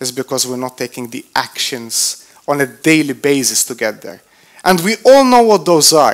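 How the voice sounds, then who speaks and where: A man with a non-native accent speaks at a moderate pace. His tone is animated, with very wide pitch swings. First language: not English. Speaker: motivational speaker. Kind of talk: motivational talk. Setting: stage with audience.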